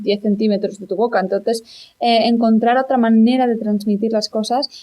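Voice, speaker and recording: A woman's fairly high voice, dark and mellow in tone, with fairly even intonation at a moderate pace. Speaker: singer-songwriter. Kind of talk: interview.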